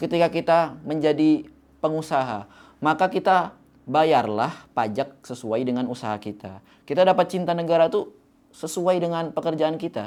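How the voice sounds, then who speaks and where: A man with a slight Javanese accent, a fairly high pitch and a fairly quick pace, ordinary pitch variation, on a very clean recording with a silent background. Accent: slight Javanese (medok). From Java, Indonesia. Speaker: youth motivational speaker. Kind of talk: motivational talk. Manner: casual, conversational.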